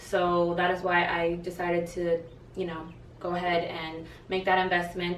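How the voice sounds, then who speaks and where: A woman of medium pitch amid noticeable background noise and audible room echo. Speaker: boutique owner and vlogger. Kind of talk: casual tutorial vlog. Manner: casual, filler-heavy.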